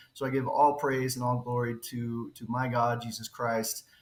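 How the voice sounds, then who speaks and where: In an American accent, a man speaks at a moderate pace and a medium pitch. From western US. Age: 40s. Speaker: crypto project founder. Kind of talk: interview. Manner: halting.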